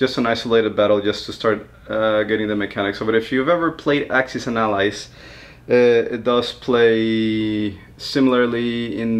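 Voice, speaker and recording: The voice carries a non-native accent. Its pace is moderate. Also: man. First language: not English. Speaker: board game youtuber. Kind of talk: unboxing video. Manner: casual, animated.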